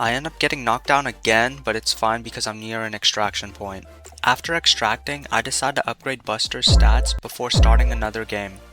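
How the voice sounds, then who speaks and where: Music plays in the background as a man talks at a fairly quick pace with hardly any pauses. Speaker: gaming YouTuber. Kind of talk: gameplay video narration. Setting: home recording, rough audio quality.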